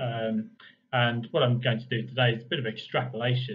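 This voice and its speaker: A man talks with an English accent. His pitch sits in the medium range. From England. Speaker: property market analyst and coach. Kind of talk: online workshop presentation. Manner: fast in parts; many fillers (um, uh).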